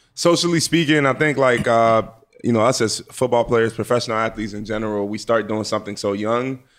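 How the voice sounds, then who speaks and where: A man with an American accent uses a normal speaking voice at a medium pitch and a fairly quick pace. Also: ordinary pitch variation. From Nigeria, then inner-city Washington DC. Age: 20s. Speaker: pro football player. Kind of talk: casual interview.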